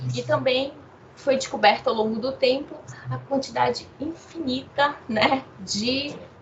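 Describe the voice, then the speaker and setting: Noticeable background noise around a woman's very slow speech. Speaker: international relations professor. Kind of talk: interview.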